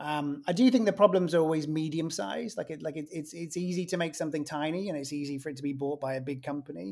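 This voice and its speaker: A man with a British accent, fairly high pitch and ordinary pitch variation, at a very fast pace with hardly any pauses, on a very clean recording with a silent background. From England. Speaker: author and marketing consultant. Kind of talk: casual interview chat.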